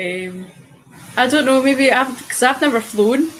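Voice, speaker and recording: A woman with a high pitch and a Scottish accent, at a moderate pace. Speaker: online show host. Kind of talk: casual chat.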